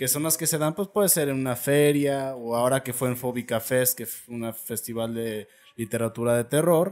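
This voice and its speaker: Here a man talks at a medium pitch and a moderate pace. He has a normal speaking voice with ordinary pitch variation. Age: 20s. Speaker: podcast host. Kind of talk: casual chat.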